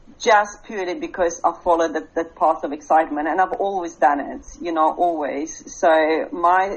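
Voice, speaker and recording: A woman speaks at a moderate pace with a Russian accent. Her medium pitch shows ordinary variation. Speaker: business coach. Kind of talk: podcast interview.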